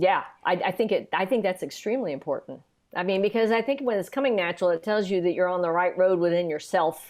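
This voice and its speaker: A woman with a Southern accent at a very fast pace and very even loudness. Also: medium pitch for a woman, ordinary pitch variation. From US South, Atlanta and East Tennessee. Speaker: composer. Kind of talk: interview conversation.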